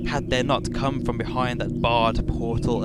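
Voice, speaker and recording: Noticeable background noise is present. A man talks through it. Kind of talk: dramatic reading of a horror story.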